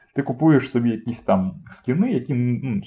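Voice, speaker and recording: Somewhat breathy and lively in intonation, a man speaks with a dark, mellow tone. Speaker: podcast co-host. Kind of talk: casual chat. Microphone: cheap poor-quality microphone.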